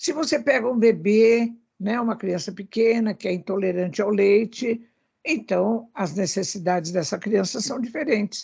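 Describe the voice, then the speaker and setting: Somewhat breathy and very slow, a woman speaks with a fairly high pitch and a dark, mellow tone. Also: quiet background. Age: 80s. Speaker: spiritist speaker on animal welfare. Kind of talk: radio talk show discussion.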